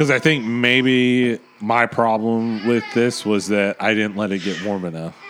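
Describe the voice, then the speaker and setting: Over noticeable background noise, a man at medium pitch speaks at a fairly slow pace with ordinary pitch variation and hardly any pauses. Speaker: beer podcast co-host. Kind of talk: casual chat.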